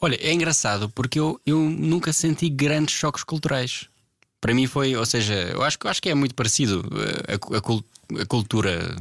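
This man has an unremarkable speaking voice with lively intonation and very even loudness. The recording is very clean, with a silent background. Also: medium pitch for a man, moderate pace. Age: 20s. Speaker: guitarist and producer. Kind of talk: casual chat.

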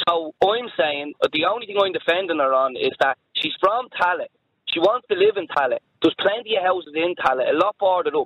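A man with a high voice and a Dublin accent. He talks at a fairly quick clip with lively intonation. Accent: Dublin Irish. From Dublin, Ireland. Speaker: caller. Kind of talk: phone-in debate. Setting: phone call.

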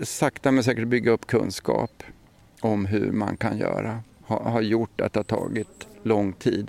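At a fairly slow pace, a man with vocal fry and a medium pitch talks in a dry, close sound with no echo. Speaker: retired municipal ecologist. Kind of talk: outdoor interview. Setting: outdoors.

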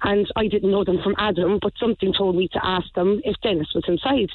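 In a Cork accent, a woman at medium pitch talks at a fairly quick pace. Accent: Cork Irish. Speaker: caller. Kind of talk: radio phone-in. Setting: phone call.

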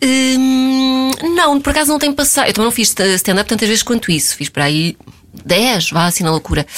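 A woman talks at a moderate pace in a high voice with very wide pitch swings. Her loudness stays very even. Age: 30s. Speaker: blogger. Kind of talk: casual chat.

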